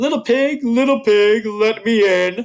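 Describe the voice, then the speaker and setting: A man puts on a character voice at a high pitch. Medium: read story. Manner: growling.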